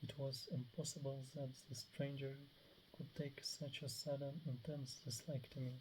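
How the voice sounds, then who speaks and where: The speaker mumbles at a moderate pace. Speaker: reader of book passages. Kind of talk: reading aloud. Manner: mumbling; halting.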